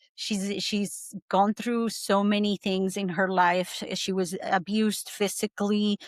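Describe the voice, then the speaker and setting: With hardly any pauses, a woman at medium pitch speaks in a monotone, flat intonation, and the sound is dry and close with no echo. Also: fairly slow pace. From Argentina. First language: Spanish. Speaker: breathwork coach. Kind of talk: podcast interview, personal testimony. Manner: halting, many fillers.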